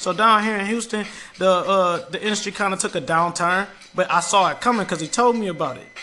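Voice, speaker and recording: Over noticeable background noise, a man with a high pitch speaks at a very fast pace in a raised, projected voice, his animated tone showing ordinary pitch variation and big swings in loudness. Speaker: podcast host. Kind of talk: radio dj patter; storytelling casual. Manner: animated, high-energy; casual slangy.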